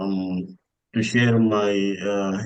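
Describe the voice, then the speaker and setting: His intonation stays monotone and flat. The man's voice is fairly low. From Sudan. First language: Arabic. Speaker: PhD scholar and lecturer. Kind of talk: online webinar talk. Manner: halting.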